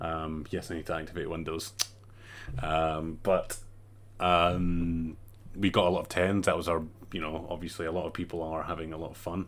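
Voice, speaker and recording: A man with a strong Scottish accent speaks at a very deep, low pitch in a monotone, flat intonation. His pace is moderate, with long, frequent pauses. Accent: thicker Scottish. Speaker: gaming community leader presenting survey results. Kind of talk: casual livestream talk. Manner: hesitant, many fillers.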